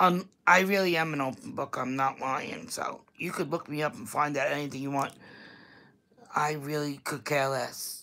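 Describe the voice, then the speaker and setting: A woman with a strong New York accent speaks at a moderate pace in a very deep, low pitch, her tone bright and sharp and her pitch varying in an ordinary way. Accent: thick Staten Island New York. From New York, Staten Island. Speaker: vlogger. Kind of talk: casual livestream chat.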